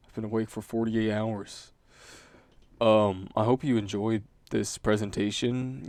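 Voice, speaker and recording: In a fairly low pitch, a man speaks fairly slowly with monotone, flat intonation. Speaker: student. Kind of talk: class presentation. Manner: halting.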